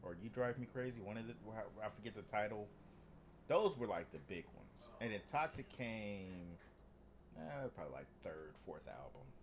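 A man with vocal fry speaks at a moderate pace in a fairly low voice, leaving long, frequent pauses. His pitch swings very widely, and his loudness also swings a lot. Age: 30s. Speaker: podcast co-host. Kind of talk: casual chat.

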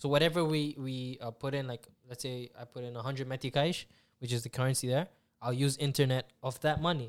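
A man talks at a fairly quick pace with a plain, everyday voice. His pitch is medium and his intonation fairly even. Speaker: podcast host. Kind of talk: casual chat.

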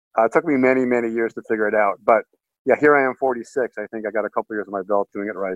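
The speaker is a man with an American accent and a medium pitch. He talks at a very fast pace with ordinary pitch variation. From US Northeast (Boston, Massachusetts). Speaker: financial strategist. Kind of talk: interview. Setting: call.

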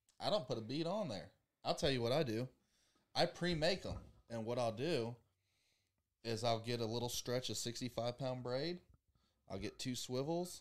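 Pausing long and often, a man with an American accent speaks at a moderate pace and medium pitch with lively intonation. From US South. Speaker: podcast host. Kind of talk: casual chat. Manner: animated.

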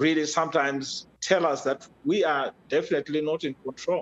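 The speech moves at a moderate pace with lively intonation, and the sound is dry and close with no echo. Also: man. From rural Zimbabwe. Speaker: father of the host, technology advocate. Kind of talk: casual interview. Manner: hesitant, many fillers and repeats.

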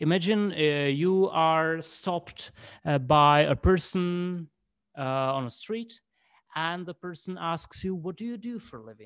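In a very clean recording with a silent background, a man with a high voice speaks at a fairly slow pace, with ordinary pitch variation and big swings in loudness. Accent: Czech. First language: Czech. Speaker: English teacher, interviewer. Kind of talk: interview. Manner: halting.

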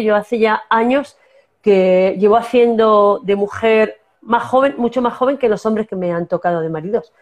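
Speaking in a La Mancha accent, a woman keeps a fairly high pitch and moderate pace with ordinary pitch variation. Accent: Manchego Spanish. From La Mancha, Spain. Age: 50s. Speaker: actress and singer. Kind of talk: casual interview.

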